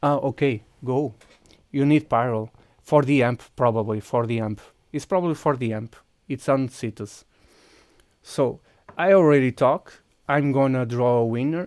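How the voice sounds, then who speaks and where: A man with a Portuguese accent speaks at a moderate pace and medium pitch, with ordinary pitch variation. He leaves long, frequent pauses, and the recording is very clean with a silent background. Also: dry, close sound with no echo. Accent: Portuguese accent, mistaken for Russian. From Portugal. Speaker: video game streamer. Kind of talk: live gameplay stream chat. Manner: halting, many fillers and restarts.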